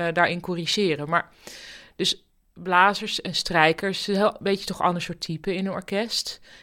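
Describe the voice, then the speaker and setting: The woman talks at a moderate pace. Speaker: podcast host. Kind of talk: interview. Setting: home office.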